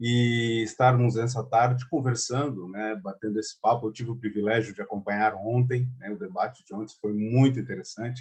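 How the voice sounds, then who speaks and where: A man speaks with hardly any pauses, his loudness swinging widely, his intonation fairly even and his voice somewhat breathy. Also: medium pitch for a man, moderate pace. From Angola. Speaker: chamber of commerce president. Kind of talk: conference talk. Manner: many fillers and hesitations.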